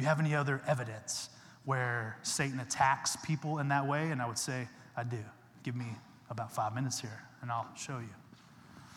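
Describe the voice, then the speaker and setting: A man speaks in a Texan accent with fairly even intonation. Audible room echo surrounds his voice. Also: medium pitch for a man, moderate pace. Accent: Texan American English. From Texas. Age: 40s. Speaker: guest preacher, former Olympic wrestler. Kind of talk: evangelical Sunday sermon with slides, conversational and rallying. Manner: casual, chatty asides seeking crowd agreement.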